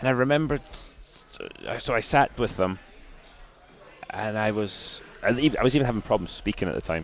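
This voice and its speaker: With music in the background, a man with a Scottish accent speaks fairly quickly at a medium pitch, with ordinary pitch variation and long, frequent pauses. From Scotland. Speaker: retired racing driver. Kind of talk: interview answer.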